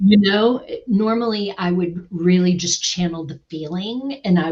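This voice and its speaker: This woman's voice is somewhat breathy and pitched fairly low. Her pitch varies in an ordinary way. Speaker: former voice actress. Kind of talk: interview answer.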